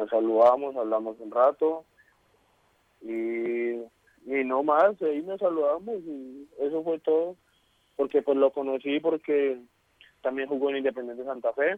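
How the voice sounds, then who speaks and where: This plain, everyday voice moves at a fairly slow pace with ordinary pitch variation. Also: man, fairly high pitch for a man. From Colombia. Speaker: footballer. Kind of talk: interview.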